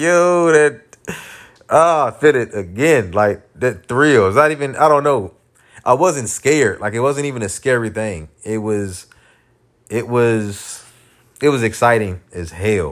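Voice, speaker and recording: The speaker's intonation is lively. The pace is fairly slow. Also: man, medium pitch for a man. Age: 30s. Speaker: podcast host. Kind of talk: casual monologue. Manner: unrehearsed, filler-heavy.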